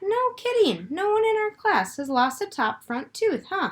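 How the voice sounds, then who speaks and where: A woman's put-on character voice, squeaky and extremely high-pitched, with a gentle tone, very wide pitch swings and a moderate pace. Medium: read story. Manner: gentle, patient.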